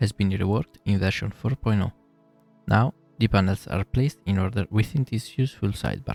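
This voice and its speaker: A man with an Italian accent speaks at a fairly quick pace, fairly low in pitch with ordinary pitch variation. Music plays in the background, and the sound is dry and close with no echo. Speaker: 3D artist / software tutorial maker. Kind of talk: software tutorial narration.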